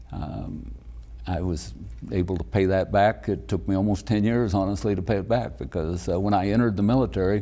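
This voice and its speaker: With vocal fry and a dark, mellow tone, this voice moves at a fairly quick pace through very wide pitch swings. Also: man, very deep, low pitch for a man. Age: 70s. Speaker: county commissioner. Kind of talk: interview. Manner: soft-spoken; halting.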